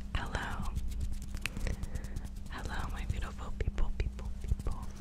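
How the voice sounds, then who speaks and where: A woman's voice amid loud background noise. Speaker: ASMR creator. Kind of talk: ASMR video. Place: home room. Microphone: studio mic.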